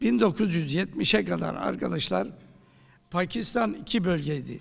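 A man with a high pitch and lively intonation talks at a very slow pace. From Turkey. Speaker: professor of theology; professor giving a talk. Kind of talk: lecture. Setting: university lecture hall with audience. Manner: halting, many filler sounds. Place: hall. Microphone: podium.

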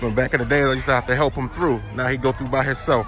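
A man talks in a dry, echo-free sound while clear music plays behind him. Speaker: family vlogger. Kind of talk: casual vlog chat. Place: street. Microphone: phone near.

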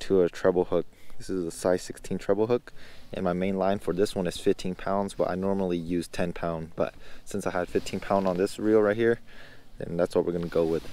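A man with a very deep, low pitch and a dark, mellow tone speaks flatly in a monotone at a fairly quick pace, in a dry sound with no echo. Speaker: angler vlogger. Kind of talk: tutorial. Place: waterside. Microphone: phone near.

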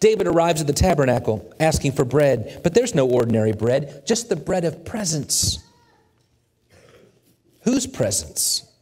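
Vocal fry colors this voice as it moves through very wide pitch swings at a fairly slow pace. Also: man, long, frequent pauses. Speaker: preacher, church sermon speaker. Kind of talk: sermon, teaching lesson. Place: church. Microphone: headset.

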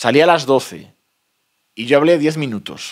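A man's lively intonation against a quiet background. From Spain, León province (El Bierzo area); León province, Spain. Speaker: author, rural postman. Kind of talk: book presentation talk. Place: meeting room.

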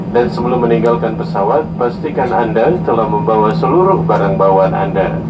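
Loud background noise behind a man at a moderate speed. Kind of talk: in-flight announcement. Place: plane. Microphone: pa.

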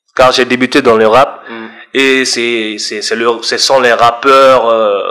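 This voice belongs to a man. He speaks in a flat, monotone way. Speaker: guest. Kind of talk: interview answer. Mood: relaxed, smiling. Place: studio. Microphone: studio mic.

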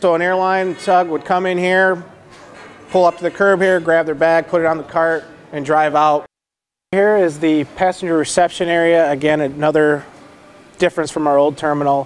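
The delivery moves at a moderate pace in a flat, monotone intonation. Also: man, high pitch for a man. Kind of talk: guided tour explanation. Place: hall.

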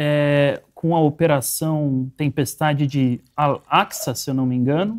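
A man speaks against a quiet background. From Brazil. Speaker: show moderator; program host. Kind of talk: live political discussion. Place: studio. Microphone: lapel.

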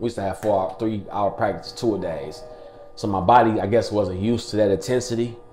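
Over noticeable background noise and audible room echo, a man with a fairly low pitch and fairly even intonation talks at a very fast pace. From Detroit east side, Michigan. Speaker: former college basketball player. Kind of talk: interview testimony. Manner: casual, many fillers.

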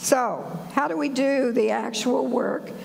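A woman puts on a raspy, hoarse character voice at a high pitch, speaking at a fairly slow pace over clear background noise. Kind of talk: sermon.

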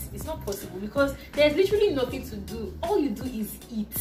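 A woman at a moderate pace, with clear music in the background. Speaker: vlogger host. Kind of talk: casual vlog chat. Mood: playful, laughing. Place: home room. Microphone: phone near.

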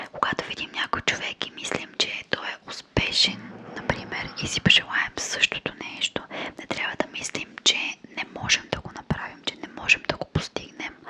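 The speaker is a woman. Her whispering moves at a moderate pace. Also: big swings in loudness. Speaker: ASMR creator. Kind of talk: soft-spoken motivational ASMR talk. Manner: soft, close-mic ASMR murmur. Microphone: studio mic.

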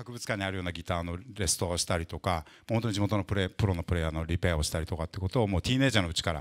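A man talking, the background quiet. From Japan. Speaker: interviewer and interpreter, guitar company specialist; interviewer. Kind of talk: interview at a live talk event, interpreting. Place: shop. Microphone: handheld.

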